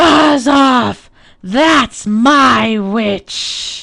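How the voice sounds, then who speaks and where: A woman's put-on character voice, high-pitched, shrill, croaky and growling. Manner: bellowing.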